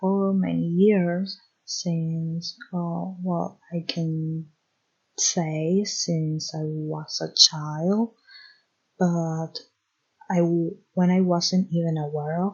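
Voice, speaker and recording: The speaker talks at a very slow pace. There is a Spanish accent. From Spanish-speaking country. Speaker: podcast host. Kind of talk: solo podcast monologue. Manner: hesitant, self-correcting.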